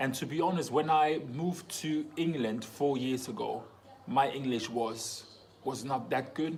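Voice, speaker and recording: A man talks fairly slowly, his pitch varying in an ordinary way, with audible room echo and noticeable background noise around him. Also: fairly high pitch for a man. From Germany, Congolese parents. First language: German and French. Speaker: footballer vlogger. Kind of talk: casual Q&A vlog. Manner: casual, animated.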